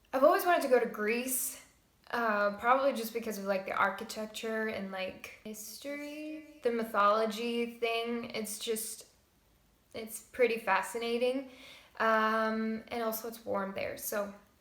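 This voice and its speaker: Speaking at a fairly slow pace, a woman with a fairly high pitch shows big swings in loudness, with audible room echo and noticeable background noise. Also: ordinary pitch variation. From Estonia. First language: Estonian. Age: 20s. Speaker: vlogger. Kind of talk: casual Q&A vlog.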